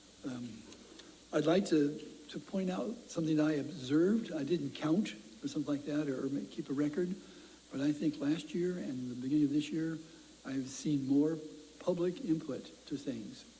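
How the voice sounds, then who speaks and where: Long, frequent pauses break up a man's speech at a moderate pace. His voice is fairly high, with ordinary pitch variation. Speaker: city council president. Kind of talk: civic update speech. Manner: halting.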